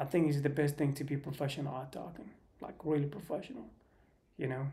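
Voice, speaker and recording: There is audible room echo around a man's dark, mellow voice with vocal fry. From Sweden. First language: not English (English is third language). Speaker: live streamer. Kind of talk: casual livestream monologue. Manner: halting.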